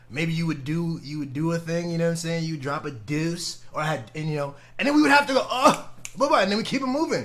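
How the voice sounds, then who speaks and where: Over noticeable background noise, a man speaks at a very fast pace in a high voice with very wide pitch swings. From Guadeloupe, raised in Antigua. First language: French. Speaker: podcast co-host. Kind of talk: casual chat. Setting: live stream.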